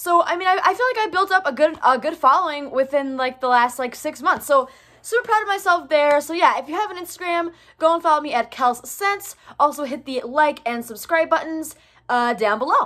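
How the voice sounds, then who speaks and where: Against a quiet background, a woman talks at a fairly quick pace in a raised, projected voice with lively intonation and a bright, sharp tone. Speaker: vlogger. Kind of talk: casual vlog chat. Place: home room. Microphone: phone near.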